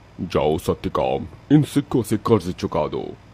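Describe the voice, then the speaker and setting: A cartoonish character voice from a man, fairly low in pitch, at a moderate pace. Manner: showy, proud.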